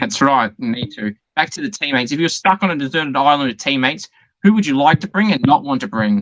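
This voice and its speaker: With an Australian accent, a fairly high-pitched man talks at a very fast pace with lively intonation in a dry, close sound with no echo. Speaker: interviewer. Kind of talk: casual interview. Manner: loud.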